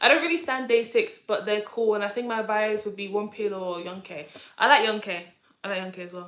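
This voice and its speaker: Talking at a fairly quick pace in a London accent, a woman lets her loudness swing widely. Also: fairly high pitch for a woman, ordinary pitch variation. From London, England. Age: 20s. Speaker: streamer. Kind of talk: casual chat. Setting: live stream. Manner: halting.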